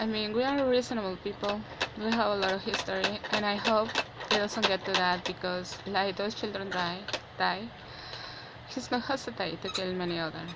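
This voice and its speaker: Over noticeable background noise, a woman speaks with a non-native accent. Her medium-pitched voice moves at a moderate pace with fairly even intonation. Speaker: vlogger. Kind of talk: personal opinion monologue. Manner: halting.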